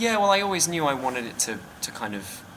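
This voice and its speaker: A man with a British accent talks at a fairly quick pace with lively intonation. Room echo is audible, along with noticeable background noise. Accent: clearly British. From Britain. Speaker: filmmaker. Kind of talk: interview. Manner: hesitant, many fillers.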